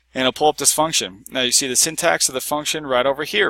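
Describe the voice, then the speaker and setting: A man's bright, sharp tone with ordinary pitch variation, in a dry, close sound with no echo. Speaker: software tutorial creator. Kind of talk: screen-recorded tutorial. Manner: fast; casual with fillers.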